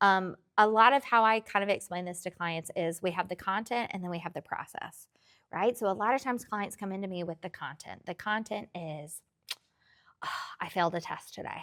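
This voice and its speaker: Talking at a fairly quick pace with a slight Tennessee accent, a woman's loudness swings widely. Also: very clean recording, silent background. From rural Tennessee. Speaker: therapist. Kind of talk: interview.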